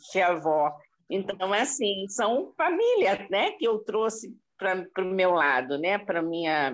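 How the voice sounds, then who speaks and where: Everything around the voice is quiet. The words come very slowly. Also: woman. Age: 60s. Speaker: spiritist group member. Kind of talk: casual chat.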